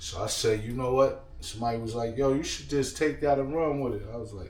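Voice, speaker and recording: A man speaks at a moderate pace with a medium pitch and ordinary pitch variation. The room echoes audibly, and background noise is noticeable. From New York. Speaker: lifestyle vlogger and DJ. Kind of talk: casual cooking vlog. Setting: home kitchen. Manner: relaxed, repetitive.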